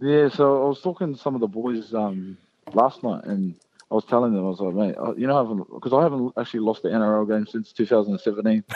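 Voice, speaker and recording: A man talks at a very fast pace with a medium pitch. His pitch varies in an ordinary way. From New Zealand. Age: 20s. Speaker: professional rugby league player. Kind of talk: interview. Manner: halting.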